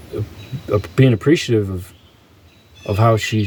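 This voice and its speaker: This man's voice is somewhat breathy, moving at a moderate pace with lively intonation. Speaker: vlogger. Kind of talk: personal monologue. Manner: halting.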